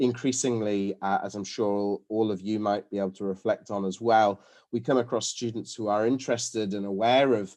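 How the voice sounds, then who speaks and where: Against a quiet background, a man with a British accent speaks fairly quickly in a dark, mellow tone at a fairly low pitch with ordinary pitch variation. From UK. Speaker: dental academic and lecturer. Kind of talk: webinar lecture. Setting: video call. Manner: hesitant, with fillers and repetitions.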